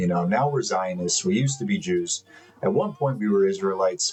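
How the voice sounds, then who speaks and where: A man's pitch swings very widely as he talks at a moderate pace over noticeable background noise. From Miami, Florida, US. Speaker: spiritual commentator. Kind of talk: monologue to camera.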